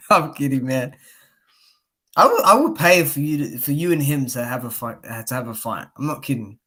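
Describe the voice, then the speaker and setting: A fairly high-pitched man with a bright, sharp tone, a fairly quick pace and ordinary pitch variation, in a very clean recording with a silent background. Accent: Australian. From Australia. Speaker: boxing YouTuber, live streamer. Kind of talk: casual chat. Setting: live stream. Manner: animated.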